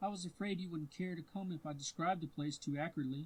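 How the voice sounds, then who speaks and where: Put-on character voice at a very fast pace. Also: man, high pitch for a man. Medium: read story.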